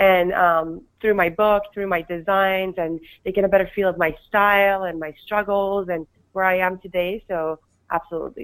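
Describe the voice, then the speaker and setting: The speech comes with a Persian accent at a moderate pace, in fairly even intonation. The recording is very clean, with a silent background. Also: woman. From Iran. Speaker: fashion designer and author. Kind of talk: interview answers, conversational.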